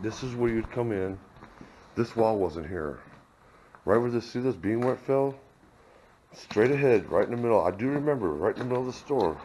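Delivered at a moderate pace, the voice has lively intonation over light background noise. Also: man. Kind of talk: casual vlog chat. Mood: nostalgic. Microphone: phone near.

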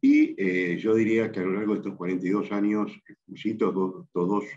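A man's fairly even intonation sits over a quiet background. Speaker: interviewee. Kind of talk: interview answer. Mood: calm, measured, serious. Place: office. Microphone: video call.

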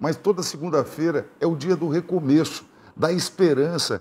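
A man's high voice with ordinary pitch variation. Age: 60s. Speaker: politician, gubernatorial candidate; candidate. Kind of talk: TV interview. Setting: TV studio. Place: studio.

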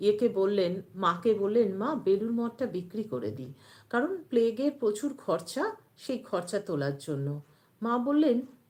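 A woman with a fairly high voice talks, her pitch swinging very widely up and down. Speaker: devotional YouTube channel host. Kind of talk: live-stream talk on religious teachings.

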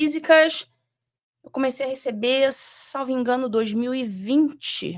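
With a Rio de Janeiro accent, a woman speaks at a very slow pace in a high pitch with lively intonation over a quiet background. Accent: carioca. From Rio de Janeiro, Brazil. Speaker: former judge; podcast guest. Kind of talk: interview. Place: studio. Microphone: studio mic.

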